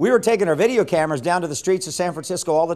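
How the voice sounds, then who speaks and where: A man's speech carries lively intonation over a quiet background. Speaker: evangelism teacher. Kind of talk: lecture. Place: studio. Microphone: lapel.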